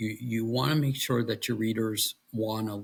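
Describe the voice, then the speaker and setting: Speech unfolds at a fairly slow pace. There is a somewhat breathy quality to it. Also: man. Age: 60s. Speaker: military veteran and author. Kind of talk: interview conversation. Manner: halting, many fillers.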